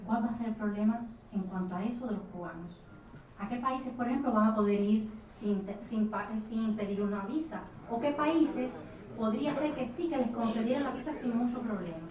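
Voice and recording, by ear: A woman's fairly high, slightly mellow voice at a fairly quick pace, with ordinary pitch variation and audible room echo.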